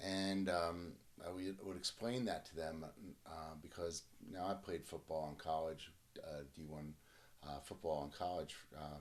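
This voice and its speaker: Very deep, low male voice with fairly even intonation at a moderate pace. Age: 60s. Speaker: surgeon and sports doctor. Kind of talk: personal testimony to camera. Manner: halting, many fillers.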